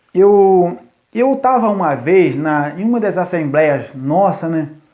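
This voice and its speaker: A man's high-pitched voice with lively intonation and audible room echo. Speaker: youth pastor. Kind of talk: live stream talk to church youth. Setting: live stream from phone. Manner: deliberately slow, paced. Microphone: phone connection lagging.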